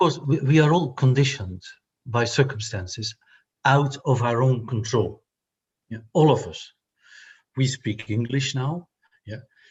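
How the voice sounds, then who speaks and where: A man with a non-native accent speaks at a fairly slow pace in a somewhat breathy, medium-pitched voice, with ordinary pitch variation, big swings in loudness, and long, frequent pauses. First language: not English. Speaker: intercultural workshop facilitator. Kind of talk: reflective conversation.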